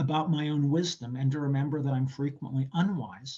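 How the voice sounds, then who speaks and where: Somewhat breathy speech comes from a man. He talks with an American accent. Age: 60s. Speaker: political science professor. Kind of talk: interview answer. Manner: reflective.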